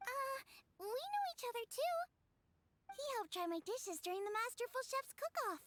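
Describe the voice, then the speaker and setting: A woman puts on a squeaky character voice at an extremely high pitch, speaking at a moderate pace with long, frequent pauses. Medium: video game. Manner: cheerful, bouncy.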